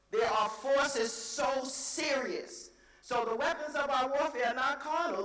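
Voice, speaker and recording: The tone is animated and the pace moderate. There is noticeable background noise. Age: 70s. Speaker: conference speaker. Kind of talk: motivational speech.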